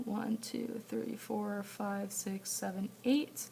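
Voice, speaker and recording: There is noticeable background noise behind the speaker. A woman talks at a medium pitch with fairly even intonation. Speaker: math teacher. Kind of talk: homework walkthrough tutorial. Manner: casual, thinking aloud with fillers.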